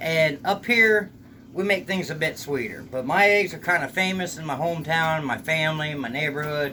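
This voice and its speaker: A man with a Southern US accent speaks in a fairly high pitch with ordinary pitch variation. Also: moderate pace. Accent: sounds Southern US. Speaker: home cook video host. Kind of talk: cooking tutorial. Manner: casual, folksy.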